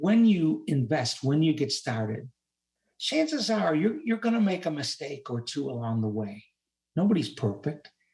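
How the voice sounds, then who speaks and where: A somewhat breathy, dark, mellow voice at a moderate pace, with very wide pitch swings. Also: man, fairly high pitch for a man. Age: 70s. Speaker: retired rehabilitation counselor and administrator. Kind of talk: interview answer.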